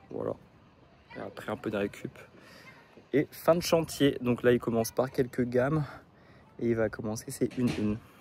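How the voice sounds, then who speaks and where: The man's voice sits at medium pitch, with ordinary pitch variation. He keeps a moderate pace and leaves long, frequent pauses. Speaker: running vlogger. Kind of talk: vlog. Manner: hesitant, many filler sounds.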